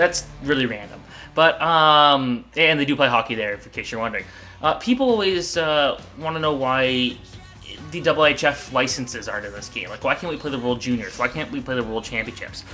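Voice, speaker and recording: A man's fairly high voice at a fairly quick pace with ordinary pitch variation, music in the background. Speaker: hockey TV show host and international hockey fan. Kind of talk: casual conversation with co-host.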